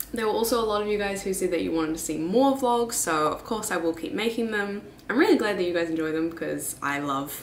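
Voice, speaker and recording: A woman speaks at a very fast pace with hardly any pauses, with light background noise and audible room echo. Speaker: vlogger. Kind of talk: casual vlog chat. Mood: cheerful, laughing. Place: home room. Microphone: camera far.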